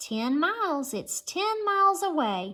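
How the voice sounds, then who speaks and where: Squeaky and extremely high-pitched, a woman does a put-on character voice with very wide pitch swings at a fairly slow pace, with faint music in the background. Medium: read story. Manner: steady and soft.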